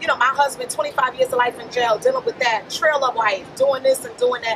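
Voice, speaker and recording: With an American accent and a high pitch, a woman speaks at a fairly quick pace with ordinary pitch variation and big swings in loudness, over noticeable background noise. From Brooklyn, New York. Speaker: motivational speaker. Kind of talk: casual interview.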